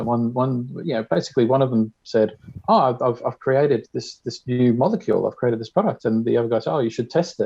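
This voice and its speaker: Talking at a very fast pace, a man with an Australian accent keeps a medium pitch and ordinary pitch variation. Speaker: diabetes community member. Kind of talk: tutorial.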